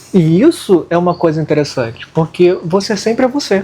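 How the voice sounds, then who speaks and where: A man talks at a moderate pace. His voice is high-pitched. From Rio de Janeiro, Brazil. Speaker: occultism channel co-host. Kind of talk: casual discussion.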